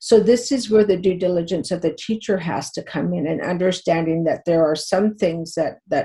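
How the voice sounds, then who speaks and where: The voice is somewhat breathy and dark, mellow in tone, with a Canadian accent. It moves at a moderate pace with ordinary pitch variation. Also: woman. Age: 50s. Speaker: teacher. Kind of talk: interview. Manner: halting, with many repetitions and fillers.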